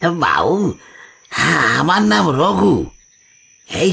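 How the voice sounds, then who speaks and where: A man puts on a character voice that is wheezy and husky. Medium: cartoon. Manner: deferential, polite.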